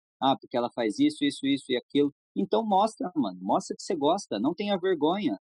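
A man speaks in a high voice with very wide pitch swings. His pace is fairly quick. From Brazil, São Paulo state (Jacareí). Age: 20s. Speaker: skateboard brand manager and skater. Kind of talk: casual interview chat.

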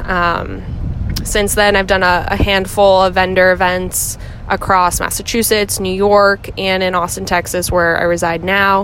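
Noticeable background noise runs under this clip. The woman's pitch sits at a medium level. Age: 20s. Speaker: affiliate marketing manager and yoga teacher. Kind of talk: recorded interview answers.

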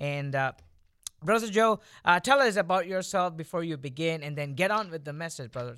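With an Indian accent, a man speaks at a fairly quick pace in a high pitch, his tone bright and sharp, his intonation lively and his loudness swinging widely, on a very clean recording with a silent background. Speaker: podcast co-host. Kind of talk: casual chat. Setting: studio.

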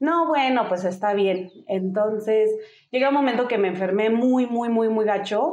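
A woman with an unremarkable speaking voice talks at a fairly slow pace, fairly high in pitch, with ordinary pitch variation and very even loudness. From US, Denver, Colorado. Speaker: single mother and motorcyclist. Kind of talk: casual interview.

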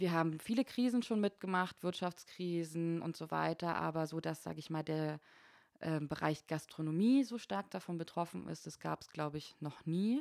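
A woman with a fairly low pitch and a plain, everyday voice speaks at a moderate pace with ordinary pitch variation in a very clean recording with a silent background. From eastern Germany, Berlin and Frankfurt (Oder). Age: 30s. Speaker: bar and club manager. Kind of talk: casual chat.

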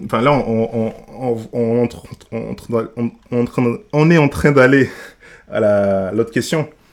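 A man talks with long, frequent pauses. His pitch varies in an ordinary way. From Senegal. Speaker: church member and food blogger. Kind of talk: casual discussion. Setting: podcast recording. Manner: halting.

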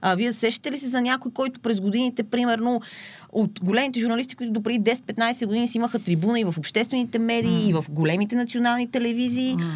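Very fast delivery from a woman's fairly high voice, with ordinary variation in pitch. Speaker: social media poet. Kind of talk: casual interview.

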